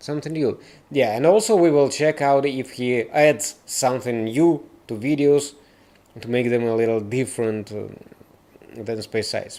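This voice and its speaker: Delivered with a Russian accent, the voice has a dark, mellow tone and ordinary pitch variation. It moves at a moderate pace with long, frequent pauses. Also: man, medium pitch for a man. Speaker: live stream reaction host. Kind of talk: live stream commentary. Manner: halting.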